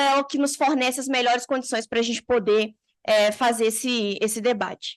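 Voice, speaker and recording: This woman has a high-pitched voice and speaks at a moderate pace. Her pitch varies in an ordinary way against a quiet background. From Minas Gerais, Brazil (Belo Horizonte). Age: 20s. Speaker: university student researcher, panel speaker. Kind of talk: seminar presentation. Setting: conference hall with audience. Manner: hesitant, many fillers.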